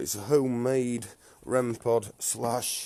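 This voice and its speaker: The voice has a dark, mellow tone and a northern English accent. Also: man. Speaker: paranormal investigator. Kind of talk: live stream ghost hunt narration.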